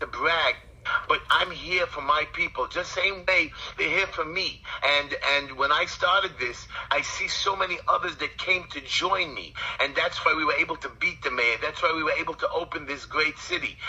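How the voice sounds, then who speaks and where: Noticeable background noise sits behind a man with a Brooklyn accent who talks at a moderate pace. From New York, Brooklyn. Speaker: community activist and city council candidate. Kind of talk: interview. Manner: animated.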